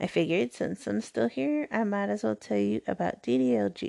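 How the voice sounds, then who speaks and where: Here a woman talks at a moderate pace with very wide pitch swings. The sound is dry and close with no echo, over a quiet background. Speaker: podcast host. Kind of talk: solo podcast monologue. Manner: higher-pitched and giggly than usual.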